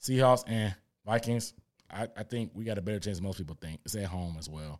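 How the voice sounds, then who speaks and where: A man with a plain, everyday voice, fairly low pitch, ordinary pitch variation and a fairly quick pace, on a very clean recording with a silent background. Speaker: sports content creator. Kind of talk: casual sports talk.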